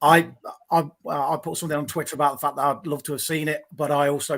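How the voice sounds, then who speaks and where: A man with an English accent, fairly high in pitch, monotone and flat, at a very fast pace, on a very clean recording with a silent background. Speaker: football fan. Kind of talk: casual chat. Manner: halting.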